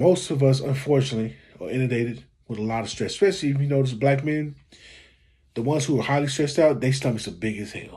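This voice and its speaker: The voice moves at a very fast pace with ordinary pitch variation, a somewhat breathy, dark and mellow tone, and a quiet background. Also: man. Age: 40s. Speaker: YouTube commentator. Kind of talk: reaction video commentary. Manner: casual, conversational. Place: home room. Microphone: phone near.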